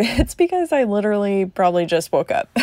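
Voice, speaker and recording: A relaxed, dark, mellow tone comes through in a very clean recording with a silent background. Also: woman. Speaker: crafting youtuber. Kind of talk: casual voiceover narration. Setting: home recording voiceover. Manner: relaxed, hesitant with fillers.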